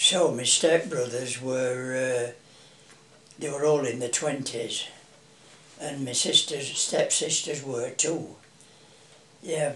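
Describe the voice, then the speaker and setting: A man with a Yorkshire accent speaks very slowly in a fairly high voice with fairly even intonation and long, frequent pauses. Audible room echo and noticeable background noise surround him. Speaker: family elder being interviewed. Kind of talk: oral history interview. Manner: hesitant, with many fillers.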